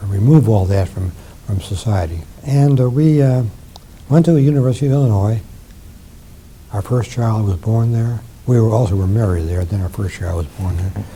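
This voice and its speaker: Over noticeable background noise, a man with a fairly low pitch speaks at a moderate pace with lively intonation and long, frequent pauses. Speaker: retired professor of ophthalmology and physiology, war veteran. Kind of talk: interview answer.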